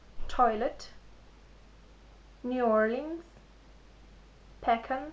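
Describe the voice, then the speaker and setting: Very slow and high-pitched, a woman talks with fairly even intonation. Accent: non-native. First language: not English. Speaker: vlogger. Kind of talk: vlog, accent tag reading word list. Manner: halting, repeats words.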